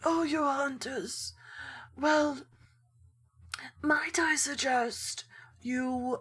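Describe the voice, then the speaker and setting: In a put-on character voice with a high pitch, a woman speaks at a very slow pace with long, frequent pauses. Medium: actual play. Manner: genteel, chatty.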